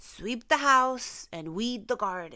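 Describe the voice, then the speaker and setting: Putting on a character voice, a woman speaks very slowly in a high pitch. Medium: read story.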